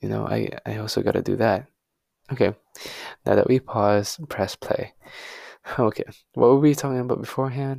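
In a very clean recording with a silent background and a dry, close sound with no echo, a man speaks at a moderate pace with long, frequent pauses. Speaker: podcast host. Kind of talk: solo personal monologue. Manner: flat, monotone delivery; halting.

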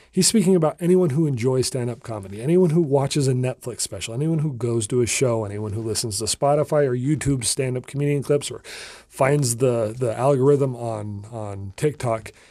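With hardly any pauses, a man with an American accent talks at a fairly quick pace in a dark, mellow tone, medium in pitch with ordinary pitch variation. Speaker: comedy podcast host. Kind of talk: solo podcast monologue. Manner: rambling.

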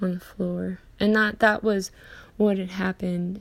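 Somewhat breathy, a woman at medium pitch speaks at a fairly slow pace. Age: 20s. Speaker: podcaster. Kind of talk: personal monologue. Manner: casual, many fillers and pauses.

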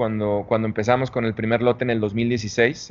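A man talks at a moderate pace. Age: 40s. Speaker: tequila brand founder. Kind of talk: interview. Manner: halting, with repetitions.

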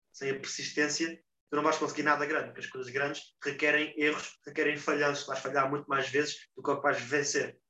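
The delivery keeps a monotone, flat intonation while the loudness swings widely. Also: man, fairly high pitch for a man. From Portugal. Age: 20s. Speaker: football player. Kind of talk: interview. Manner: halting.

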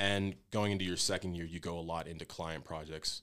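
A man with an American accent speaks at a moderate pace in a very deep, low voice. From Pennsylvania, between Philadelphia and Trenton. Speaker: college student and wrestler. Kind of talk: interview.

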